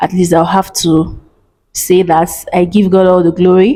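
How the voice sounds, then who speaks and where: In a Nigerian accent, a woman speaks with a dark, mellow tone. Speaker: vlogger. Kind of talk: casual advice vlog.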